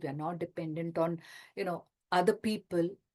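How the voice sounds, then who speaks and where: A woman speaks with an Indian accent. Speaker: retirement lifestyle coach and author. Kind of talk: talk in an online workshop session.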